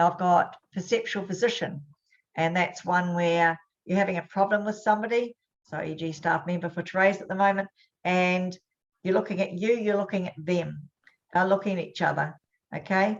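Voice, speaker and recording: An ordinary speaking voice holds a moderate pace and fairly even intonation. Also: woman, medium pitch for a woman. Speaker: hypnosis and NLP trainer. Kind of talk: webinar teaching.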